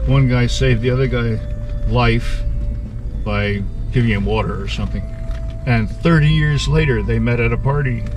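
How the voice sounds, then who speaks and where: A man with a very deep, low pitch speaks in a monotone, flat way, with long, frequent pauses. The sound is dry with no echo, though noticeable background noise is present. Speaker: Civil War history guide. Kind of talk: battlefield tour narration. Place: car. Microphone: phone near.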